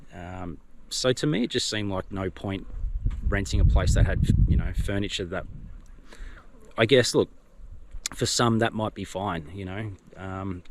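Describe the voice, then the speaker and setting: With an Australian accent, a man speaks in a fairly low voice at a moderate pace with ordinary pitch variation. Long, frequent pauses and big swings in loudness mark his delivery. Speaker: vlogger. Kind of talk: casual vlog talk to camera. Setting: outdoors by the water. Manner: hesitant, many fillers.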